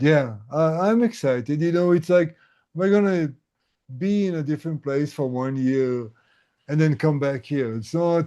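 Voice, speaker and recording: At a moderate pace and fairly high pitch, a man speaks with ordinary pitch variation against a quiet background. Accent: Israeli. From Israel. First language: Hebrew. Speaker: tinnitus coach. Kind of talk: casual chat. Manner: halting.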